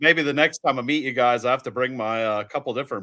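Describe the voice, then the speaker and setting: A man speaks with a bright, sharp tone at a medium pitch and ordinary pitch variation. The recording is very clean, with a silent background. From Pennsylvania Dutch country. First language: Pennsylvania Dutch. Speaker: tractor puller. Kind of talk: casual chat.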